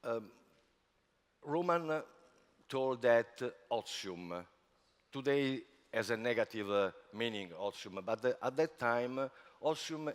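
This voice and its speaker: In an Italian accent, a man talks at a very slow pace with lively intonation. He leaves long pauses often. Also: medium pitch for a man. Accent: non-native English, Italian. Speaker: spa industry executive. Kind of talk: conference talk. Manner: halting, many fillers.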